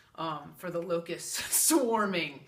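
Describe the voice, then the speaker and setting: A woman speaks at a fairly slow pace with lively intonation. There is noticeable background noise and audible room echo. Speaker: psychic medium. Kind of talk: casual vlog monologue.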